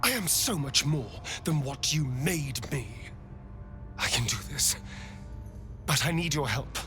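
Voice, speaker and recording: Over loud background noise, a man uses a put-on character voice with a fairly high pitch, speaking fairly slowly with long, frequent pauses. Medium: machinima. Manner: witty, sharp.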